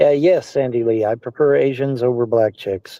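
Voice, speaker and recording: A man talks at a fairly quick pace with a medium pitch and a dark, mellow tone. The sound is dry and close, with no echo. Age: 60s. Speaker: livestream personality. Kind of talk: casual chat.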